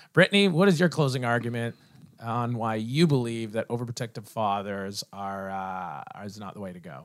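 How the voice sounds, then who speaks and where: A man with a Canadian accent speaks in a plain, everyday voice at medium pitch and a moderate pace. His intonation is lively, his loudness swings widely, and the recording is very clean with a silent background. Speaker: debate show moderator. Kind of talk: comedic improv debate.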